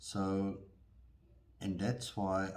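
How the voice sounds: A man speaks in a low voice with a slightly mellow tone. Room echo is audible.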